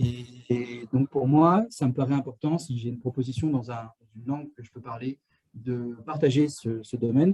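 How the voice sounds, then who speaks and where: A man speaks at a moderate pace in a medium pitch, with a dark, mellow tone that is somewhat breathy. The sound is dry and close, with no echo. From France. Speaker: astrophysics engineer at a polar research station. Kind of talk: live Q&A talk. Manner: halting, many fillers and restarts.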